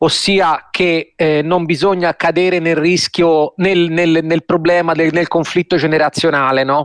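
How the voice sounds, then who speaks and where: Over a quiet background, a man with a fairly high pitch speaks at a very slow pace in a monotone, flat intonation, the sound dry and close with no echo. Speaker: newspaper journalist commentator. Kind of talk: radio commentary. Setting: studio.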